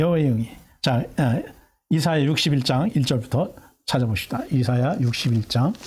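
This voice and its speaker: A man's fairly high voice, somewhat breathy, at a moderate pace with very even loudness and ordinary pitch variation. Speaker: pastor. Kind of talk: sermon. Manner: halting, many fillers.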